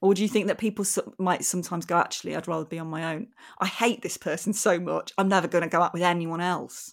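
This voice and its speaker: A woman with an English accent at a fairly low pitch, very fast pace and ordinary pitch variation, in a very clean recording with a silent background. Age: 40s. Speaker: comedic actress. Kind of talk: casual chat.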